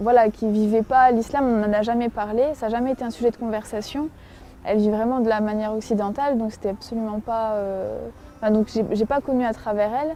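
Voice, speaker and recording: This woman's voice sits at a fairly high pitch with a dark, mellow tone. She talks at a fairly quick pace with fairly even intonation. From France. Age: 20s. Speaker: convert giving testimony. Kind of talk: testimony. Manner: halting, many fillers.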